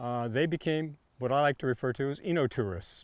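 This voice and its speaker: A man speaks at a medium pitch with a Californian accent. His pitch varies in an ordinary way. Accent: General American (Californian). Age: 70s. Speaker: winemaker. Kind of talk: oral history interview. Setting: video interview.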